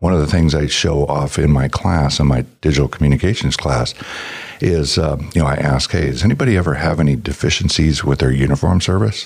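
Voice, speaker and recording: The speech moves at a fairly quick pace with ordinary pitch variation and very even loudness, set against noticeable background noise. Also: man, very deep, low pitch for a man. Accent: American. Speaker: automotive technician and founder. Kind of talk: casual interview chat.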